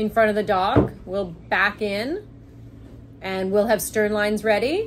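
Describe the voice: A woman speaks at a slow pace. Her medium pitch shows ordinary variation.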